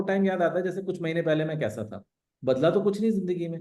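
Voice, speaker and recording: Fairly high in pitch, a man speaks with a dark, mellow tone. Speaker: ex-army special forces member and mountaineer. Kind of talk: live online Q&A talk. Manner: casual, conversational.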